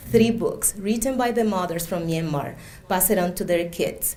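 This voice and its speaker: A woman with a Spanish accent talks at a moderate pace and medium pitch with ordinary pitch variation, with audible room echo. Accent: Spanish accent, identifiable. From Cuba. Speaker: immigrant speaker, education worker. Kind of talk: personal testimony speech.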